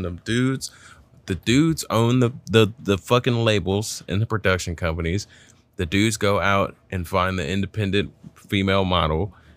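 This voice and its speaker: In a very clean recording with a silent background, a man speaks with lively intonation at a fairly low pitch. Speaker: comedian and podcast host.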